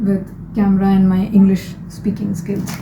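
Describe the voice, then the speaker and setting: A woman speaks at a medium pitch and moderate pace, with noticeable background noise and audible room echo. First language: not English. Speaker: lifestyle vlogger. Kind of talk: casual vlog monologue. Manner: hesitant, with fillers and restarts.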